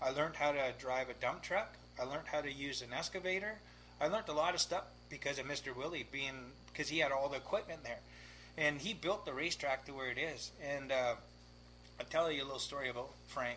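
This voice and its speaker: A fairly quick man's voice, fairly high in pitch with ordinary pitch variation, vocal fry, and a bright, sharp tone. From Victoria, British Columbia, Canada. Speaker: race car driver. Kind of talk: casual chat. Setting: garage. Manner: animated.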